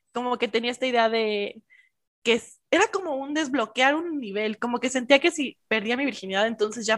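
In a Mexican accent, a woman speaks with a dry, close sound and no echo. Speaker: podcast co-host. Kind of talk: casual chat.

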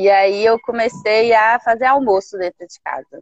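A woman talks in an ordinary speaking voice at a fairly slow pace, her intonation fairly even. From Brazil, Belo Horizonte. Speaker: engineer turned entrepreneur. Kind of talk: interview. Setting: video call.

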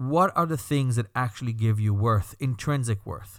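A man with a Belgian accent speaks at a medium pitch on a very clean recording with a silent background. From Belgium. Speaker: rabbi and podcast host. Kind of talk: scripted-style podcast introduction monologue.

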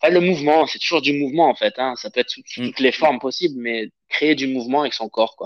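The delivery is very fast with hardly any pauses and fairly even intonation, in a dry, close sound with no echo. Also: man, fairly high pitch for a man. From southern France, Avignon. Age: 30s. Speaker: Brazilian jiu-jitsu instructor. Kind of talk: casual interview.

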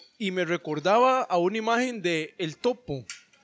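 A man with lively intonation and music in the background. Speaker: founder of a literary workshop. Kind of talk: casual chat.

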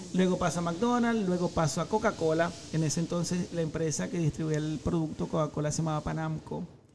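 Music plays behind a man talking at a fairly quick pace with hardly any pauses. His pitch is fairly high, with ordinary pitch variation. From Venezuela, Maracaibo. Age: 40s. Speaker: social media content creator. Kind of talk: casual interview chat.

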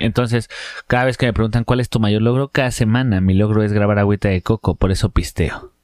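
Fairly low in pitch and with a Mexican accent, a man speaks at a fairly quick pace with very even loudness on a very clean recording with a silent background. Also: fairly even intonation, dry, close sound with no echo. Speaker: comedy podcast co-host. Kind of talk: casual chat.

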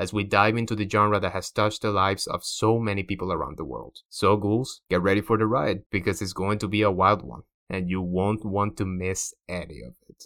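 In a Cuban accent, a man with fairly low pitch talks fairly quickly with hardly any pauses and big swings in loudness, on a very clean recording with a silent background. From Cuba, Havana. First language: Spanish. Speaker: podcast host and comic book publisher. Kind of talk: scripted narration. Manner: animated.

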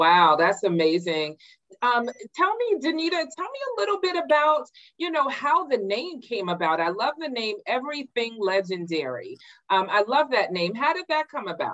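The tone is warm and upbeat, with very wide pitch swings. The pace is moderate. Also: woman, high pitch for a woman. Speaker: interviewer and show host. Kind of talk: casual interview. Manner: warm, upbeat.

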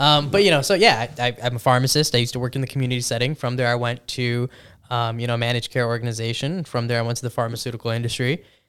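Very fast speech from a man with a Chicago-area accent and medium pitch. His intonation stays fairly even, and the recording is very clean with a silent background. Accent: Chicago-area American English. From US Midwest, Chicago suburbs. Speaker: pharmacist. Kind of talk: casual chat.

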